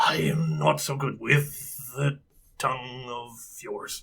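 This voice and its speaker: Using a put-on character voice, a man talks raspy at medium pitch and a fairly slow pace. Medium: actual play. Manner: halting, awkward with the language.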